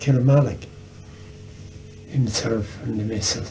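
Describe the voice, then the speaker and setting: With music in the background and audible room echo, a man at medium pitch speaks at a moderate pace with fairly even intonation. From Ireland, County Tipperary. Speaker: storyteller. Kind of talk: casual chat.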